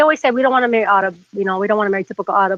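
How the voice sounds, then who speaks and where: A woman's voice, dry and close with no echo. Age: 40s. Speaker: caller. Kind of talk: phone-in call. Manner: halting.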